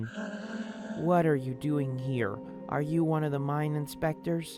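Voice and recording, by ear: A man's put-on character voice, fairly high in pitch and fairly slow, over clear background music.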